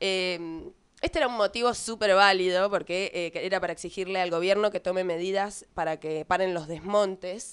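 With a Rioplatense accent, a woman talks at a moderate pace with fairly even intonation against a quiet background. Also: medium pitch for a woman. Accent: Argentine Spanish (rioplatense). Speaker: podcast co-host. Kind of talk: casual chat.

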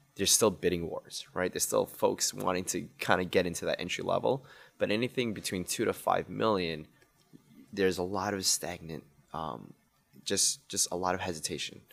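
In a very clean recording with a silent background, a man with an American accent talks at a fairly quick pace. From Queens, New York City. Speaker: entrepreneur, banker and restaurant owner. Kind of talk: casual interview.

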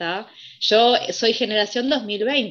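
A woman speaks in a Rioplatense accent. Her pitch is fairly high. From Montevideo, Uruguay. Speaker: university student. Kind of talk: casual chat.

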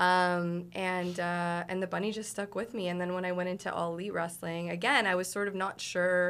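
Using a normal speaking voice, a woman talks at a fairly quick pace. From Toronto, Canada. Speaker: professional wrestler. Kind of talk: casual interview chat.

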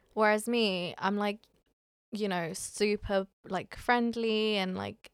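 A woman with a British accent and a medium pitch speaks at a very slow pace, on a very clean recording with a silent background and a dry, close sound with no echo. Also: long, frequent pauses. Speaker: podcast co-host. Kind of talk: casual chat.

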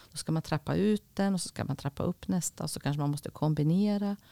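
A woman speaks with a very deep, low pitch and ordinary pitch variation in a dark, mellow tone. The recording is very clean and dry, close with no echo, over a silent background. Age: 50s. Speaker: school and hospital counsellor. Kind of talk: interview.

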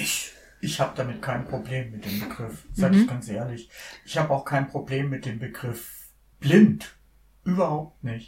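A man's medium-pitched, somewhat breathy voice, fairly slow, with lively intonation and big swings in loudness. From Bavaria, Lower Franconia (Miltenberg), schooled in Munich. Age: 60s. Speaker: blind church organist. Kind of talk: casual interview conversation. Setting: studio, sitting face to face.

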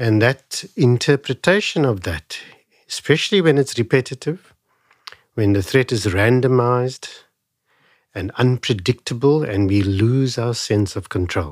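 A man speaks at a fairly slow pace and medium pitch with lively intonation. The recording is very clean, with a silent background. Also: dry, close sound with no echo. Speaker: wellness doctor. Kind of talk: interview. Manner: calm.

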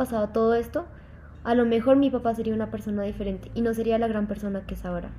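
A woman's fairly high, dark, mellow voice at a very fast pace, with fairly even intonation. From Mexico (Mérida, Yucatán) then Colombia from about age 10. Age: 20s. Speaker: university student. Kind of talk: personal testimony interview.

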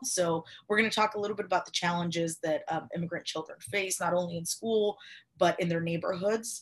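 A woman speaks somewhat breathily at a fairly quick pace, her intonation fairly even. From Cuba. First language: Spanish. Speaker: podcast host. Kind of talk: interview.

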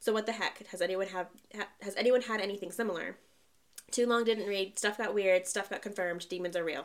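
A medium-pitched woman with a Southern US accent, at a fairly quick pace with fairly even intonation. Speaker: podcast host. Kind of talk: ghost story telling, reading Reddit stories aloud in a hushed, suspenseful tone.

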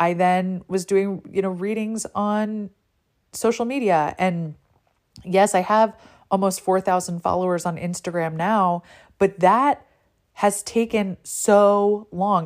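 A woman with an American accent speaks at a medium pitch with ordinary pitch variation in a plain, everyday voice, recorded very cleanly against a silent background. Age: 40s. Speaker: tarot reader and podcast host. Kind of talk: solo podcast monologue.

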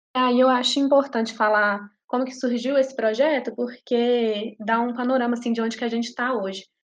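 Over a quiet background, a woman with a high pitch speaks at a fairly quick pace. Her intonation is monotone and flat. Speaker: undergraduate language student. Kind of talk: academic interview.

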